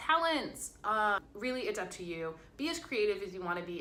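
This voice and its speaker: Noticeable background noise and audible room echo surround a woman of medium pitch whose voice swings very widely in pitch. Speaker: college student vlogger. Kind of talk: casual vlog advice. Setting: hotel room.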